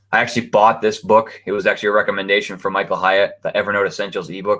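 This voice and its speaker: The background stays quiet. A man's speech rushes along at a very fast pace. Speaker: webinar presenter. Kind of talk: webinar tutorial. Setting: online webinar (hangout on air). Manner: casual, filler-heavy.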